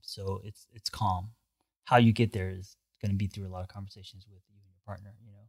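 Somewhat breathy and fairly low, a man speaks in a monotone, flat intonation with big swings in loudness, on a very clean recording with a silent background. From US West Coast (Los Angeles). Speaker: therapist and life coach. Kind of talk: casual chat.

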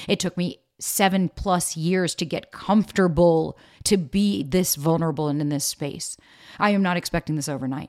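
A woman speaks in an animated tone with a fairly low pitch and ordinary pitch variation. The recording is very clean, with a silent background and a dry, close sound without echo. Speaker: podcast host and dating coach. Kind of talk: solo podcast monologue. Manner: fast.

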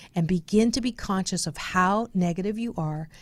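A woman speaks in an American accent with an unremarkable speaking voice at a fairly quick pace and ordinary pitch variation. The recording is very clean, with a silent background. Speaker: radio host and speaker. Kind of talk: casual radio interview. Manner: upbeat, positive.

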